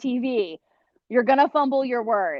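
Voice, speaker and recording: A woman with a Cleveland accent at a fairly slow pace. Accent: Inland North US (Cleveland). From northeast Ohio (Cleveland). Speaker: TV meteorologist. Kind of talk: guest talk to a class. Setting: video call.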